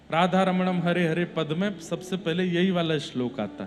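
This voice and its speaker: Music plays behind a man speaking in a high voice. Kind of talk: religious discourse (katha) delivered to an audience.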